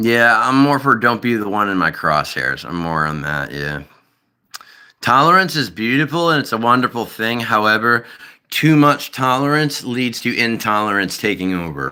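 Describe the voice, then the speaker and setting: A man with an American accent speaks at a moderate pace and medium pitch. His tone is bright and sharp, with very wide pitch swings. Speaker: streamer. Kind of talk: live stream chat. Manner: animated, profane.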